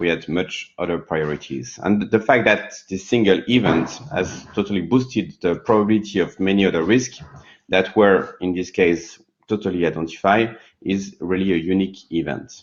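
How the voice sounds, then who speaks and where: At a moderate pace, a man with a French accent speaks in a very deep, low voice with ordinary pitch variation. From France. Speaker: session moderator, corporate risk manager. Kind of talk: conference panel moderation. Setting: live online workshop at a seminar.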